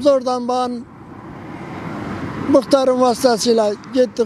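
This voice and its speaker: An extremely high-pitched male voice at a very slow pace, dry with no echo, over noticeable background noise. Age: 70s. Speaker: roadside tea seller. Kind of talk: interview answer.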